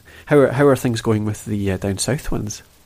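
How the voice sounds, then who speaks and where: This man talks very fast with a Scottish accent. His intonation is lively. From Scotland. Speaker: podcast host. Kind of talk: interview, casual chat. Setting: remote call.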